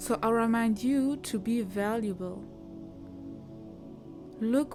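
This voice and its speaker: Over music in the background, someone with a non-native accent speaks at a very slow pace with ordinary pitch variation. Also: woman. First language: not English. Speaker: self-improvement content creator. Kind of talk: casual motivational talk, voice-over without face.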